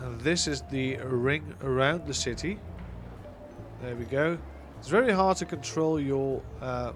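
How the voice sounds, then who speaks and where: Speech comes at a fairly slow pace with long, frequent pauses, with music in the background and audible room echo. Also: man. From Netherlands. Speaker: gaming streamer. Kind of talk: live gameplay stream chat. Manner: casual, hesitant with many fillers.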